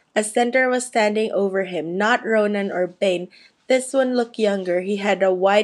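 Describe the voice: Plain reading aloud with ordinary pitch variation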